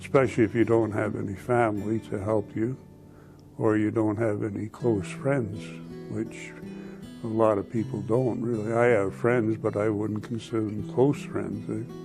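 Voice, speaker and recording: With music in the background, a man speaks in a fairly low voice with a northern Ontario accent. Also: ordinary pitch variation, moderate pace. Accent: Canadian (northern Ontario). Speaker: retiree. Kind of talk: interview. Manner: halting.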